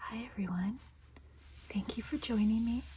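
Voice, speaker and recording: The speaker is soft-spoken with a relaxed tone. The pace is fairly slow. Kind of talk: ASMR soft-spoken show and tell, casual talk to camera. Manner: soft-spoken, quiet, relaxed.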